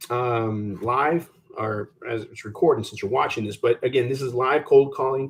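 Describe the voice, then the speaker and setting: A man speaks at a moderate pace. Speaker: real estate recruiter. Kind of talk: tutorial. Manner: loud; animated.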